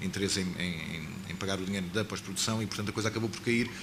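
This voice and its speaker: Through noticeable background noise and audible room echo, a man talks at a very fast pace. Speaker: filmmaker. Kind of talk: panel talk at film launch.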